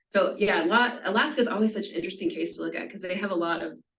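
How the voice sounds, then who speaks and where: With audible room echo, a woman talks at a very fast pace. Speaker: law professor giving seminar talk. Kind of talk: lecture. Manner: halting, many fillers.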